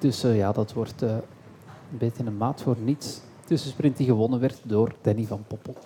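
A man speaks fairly slowly at a medium pitch, his intonation fairly even. His tone is dark and mellow, and somewhat breathy. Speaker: cycling commentator and talk show host. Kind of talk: casual chat; live commentary. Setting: café with live audience.

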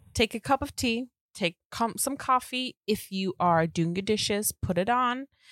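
A woman with a British accent speaks at a fairly slow pace and fairly high pitch, with an animated tone and lively intonation, the sound dry and close with no echo on a very clean recording with a silent background. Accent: British-sounding. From Germany. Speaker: podcast co-host. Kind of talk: casual chat.

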